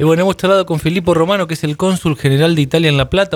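A man with a Rioplatense accent and a fairly high pitch. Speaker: radio host. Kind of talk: radio interview.

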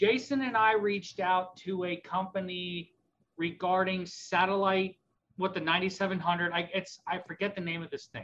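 A man with an American accent talks at a moderate pace in a high pitch. His intonation is monotone and flat, and his tone is bright and sharp. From Pennsylvania. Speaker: ham radio retailer employee. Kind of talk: casual chat.

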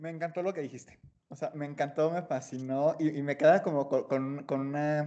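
A man with a fairly high pitch and a dark, mellow tone talks at a moderate pace in a monotone, flat delivery. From Guanajuato, Mexico. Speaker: podcast host. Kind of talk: casual chat.

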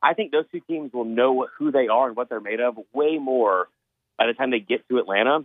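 A man at medium pitch with ordinary pitch variation, at a fairly quick pace. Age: 30s. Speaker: college football writer. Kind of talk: casual chat.

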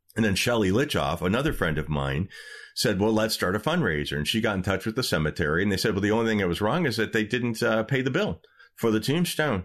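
Against a quiet background, a man with a slight Michigan accent and a fairly low voice speaks at a very fast pace, his pitch swinging very widely. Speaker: podcast host and historian. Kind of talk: casual chat.

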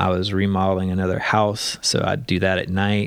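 A man with an ordinary speaking voice and an American accent talks at a moderate pace with a fairly low pitch. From US Gulf Coast. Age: 30s. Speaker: nonprofit founder and business executive. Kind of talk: casual interview. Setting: at home.

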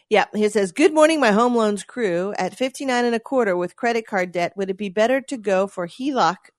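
An unremarkable speaking voice with lively intonation and hardly any pauses. The sound is dry and close, with no echo. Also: woman, fairly high pitch for a woman. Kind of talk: radio dj patter: relaxed co-host banter, reading listener texts on air between jokes. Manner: chatty, wry and playful, riffing and laughing along while reading out listener messages.

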